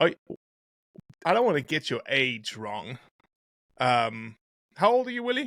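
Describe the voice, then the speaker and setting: A man's bright, sharp voice at a moderate pace, dry and close with no echo, on a very clean recording with a silent background. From South Africa. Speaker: podcast host. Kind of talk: interview.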